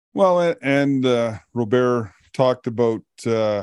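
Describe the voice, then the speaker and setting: A man speaks with a dark, mellow tone and ordinary pitch variation, in a Canadian accent. The sound is dry and close, with no echo. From Canada, Alberta. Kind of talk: casual chat. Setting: video call.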